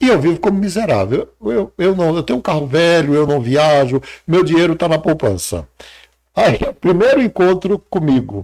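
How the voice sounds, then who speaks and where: A high-pitched male voice with very wide pitch swings at a moderate pace, very clean recording with a silent background. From Brazil, Ceará (sertão, Crato). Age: 60s. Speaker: psychologist and mentor. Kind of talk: interview.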